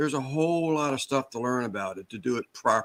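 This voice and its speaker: A man with a plain, everyday voice, fairly high pitch and fairly quick pace on a very clean recording with a silent background. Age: 60s. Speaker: small business owner. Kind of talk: casual chat.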